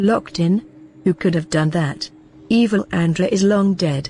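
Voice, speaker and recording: At a moderate pace, a female-sounding voice of medium pitch performs a put-on character voice. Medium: machinima.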